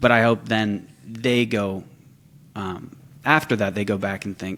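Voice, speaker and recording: An unremarkable speaking voice with an American accent moves at a fairly slow pace with fairly even intonation. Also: man, fairly low pitch for a man. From California, San Francisco Bay Area. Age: 20s. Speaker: social media content creator for a farm equipment brand. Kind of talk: casual podcast interview.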